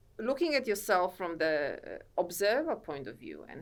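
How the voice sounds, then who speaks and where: This woman speaks with a Polish accent. Her pace is fairly slow. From Poland. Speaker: author and self-help coach. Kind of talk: podcast interview. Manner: halting.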